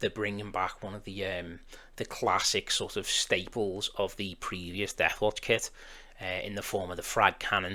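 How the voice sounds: This man has a fairly bright tone. He talks at a moderate pace.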